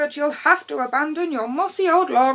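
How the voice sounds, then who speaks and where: A woman speaks in a put-on character voice with a high pitch. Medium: read story.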